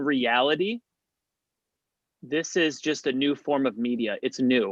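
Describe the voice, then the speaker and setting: Delivered in a plain, everyday voice, the speech moves at a fairly slow pace with ordinary pitch variation. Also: man. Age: 30s. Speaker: comedian. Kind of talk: casual chat.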